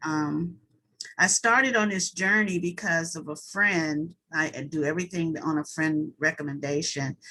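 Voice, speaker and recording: A woman speaks in an ordinary speaking voice at a fairly low pitch with ordinary pitch variation. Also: fairly slow pace. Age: 60s. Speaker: retired newcomer to notary work. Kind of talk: self-introduction in group chat.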